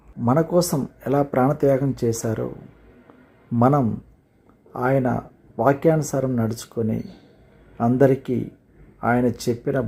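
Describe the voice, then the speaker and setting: This man's intonation stays fairly even. His tone is dark and mellow. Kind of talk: motivational speech, Christmas greeting message.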